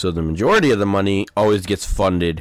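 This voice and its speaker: On a very clean recording with a silent background, a man with an American accent speaks in a normal speaking voice, fairly low in pitch and at a fairly quick pace. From Texas. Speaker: podcast co-host. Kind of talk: casual chat.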